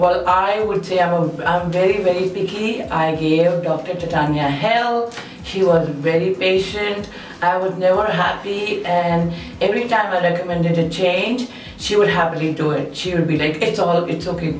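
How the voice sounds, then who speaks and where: A woman speaks at a moderate pace with fairly even intonation. There is audible room echo along with light background noise. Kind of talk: testimonial interview answer. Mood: grateful, warm, some laughter.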